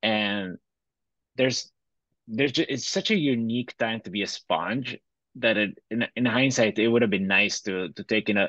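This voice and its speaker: Recorded dry and close with no echo, a man with a bright, sharp tone and medium pitch talks at a moderate pace with ordinary pitch variation. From Bolivia. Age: 30s. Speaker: fintech entrepreneur. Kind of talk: interview.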